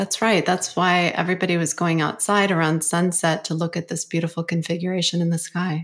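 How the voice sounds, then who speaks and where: A woman's fairly low voice in monotone, flat intonation, with hardly any pauses, in a very clean recording with a silent background. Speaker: podcast host and acupuncturist. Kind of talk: casual interview.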